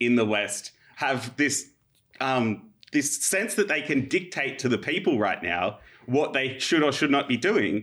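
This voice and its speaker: Speaking with an Australian accent, a man has a medium pitch and a bright, sharp tone. His pace is fairly slow and his intonation lively. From Australia, Illawarra. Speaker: historian. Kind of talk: casual chat.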